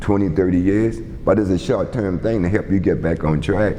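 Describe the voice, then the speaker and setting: With a South Carolina Lowcountry accent, a man speaks at a moderate pace over noticeable background noise. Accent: Southern US, Lowcountry South Carolina. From Charleston, South Carolina. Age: 60s. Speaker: community advocate and youth sports coach. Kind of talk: oral history interview answer.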